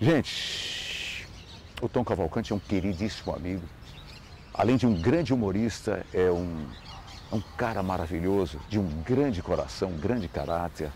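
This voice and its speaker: With a very deep, low pitch and lively intonation, a man talks at a moderate pace with long, frequent pauses, in a dry sound without echo over light background noise. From Ceará, northeast Brazil. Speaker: radio presenter. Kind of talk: recorded video testimony. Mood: warm, nostalgic, amused. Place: garden.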